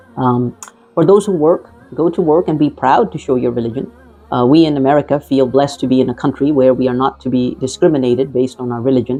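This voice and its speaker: The speaker talks at a very fast pace with a non-native accent, and there is noticeable background noise. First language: not Arabic. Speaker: physician giving health advice. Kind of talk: scripted advice talk. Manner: formal.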